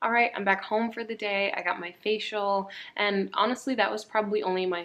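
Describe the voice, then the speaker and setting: Fairly quick speech from a woman with an American accent. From US West Coast, San Diego. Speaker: model and vlogger. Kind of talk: casual vlog talk. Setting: at home.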